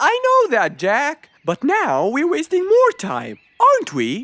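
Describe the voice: A put-on character voice with a bright, sharp tone moves at a slow pace through very wide pitch swings.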